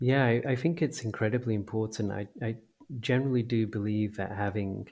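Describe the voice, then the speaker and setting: Speaking with an English accent, a man at fairly low pitch keeps a moderate pace in a very clean recording with a silent background. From small town in England. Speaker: games company founder and CEO. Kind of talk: interview. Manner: hesitant with frequent word repetitions.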